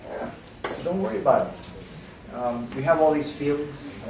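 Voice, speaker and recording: With an American accent, the speaker talks at a fairly slow pace with fairly even intonation, amid audible room echo and noticeable background noise. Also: man. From New York. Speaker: English teacher. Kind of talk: lecture.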